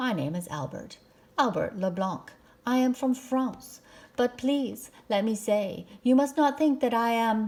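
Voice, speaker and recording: High-pitched, a woman performs a put-on character voice. Her delivery is fairly slow. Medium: read story. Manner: polite, formal.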